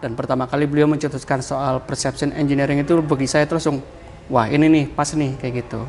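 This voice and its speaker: A man's fairly high-pitched, monotone, flat delivery with a strong Banyumas accent. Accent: strong Javanese ngapak. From Central Java, Banyumas (ngapak) area. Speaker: digital branding consultant. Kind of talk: podcast interview.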